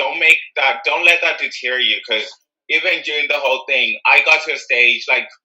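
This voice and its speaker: The pace is moderate. An Irish accent comes through. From Ireland. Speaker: anti-racism activist. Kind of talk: casual chat.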